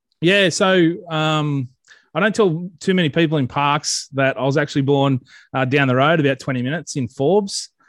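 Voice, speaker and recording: With an Australian accent, a man at a fairly high pitch talks at a moderate pace with ordinary pitch variation, the sound dry and close with no echo. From Central West New South Wales, Australia. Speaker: social media page creator. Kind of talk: casual interview. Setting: video call. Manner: halting, many fillers.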